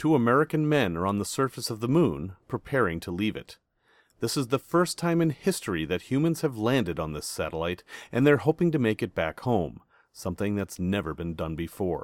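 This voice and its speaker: A man's fairly low voice at a moderate pace, with very wide pitch swings and a dry, close sound free of echo. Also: very clean recording, silent background. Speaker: podcast host. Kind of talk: history documentary narration. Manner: measured, clear, authoritative storyteller pace.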